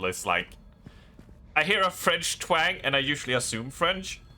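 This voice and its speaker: A man with a slight Swedish accent at a moderate pace, his pitch swinging very widely. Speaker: game streamer. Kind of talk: casual chat. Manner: halting.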